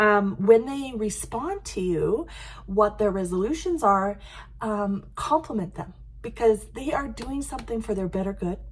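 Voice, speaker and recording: Speaking with a Canadian accent, a woman uses a somewhat breathy, fairly high voice, lively intonation and a fairly slow pace. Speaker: life coach. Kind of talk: tutorial. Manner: halting.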